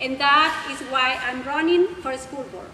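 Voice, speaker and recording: Amid noticeable background noise, a woman uses a raised, projected voice at a moderate pace with ordinary pitch variation. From Mexico. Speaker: school board candidate. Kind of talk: prepared candidate speech. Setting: public forum with audience.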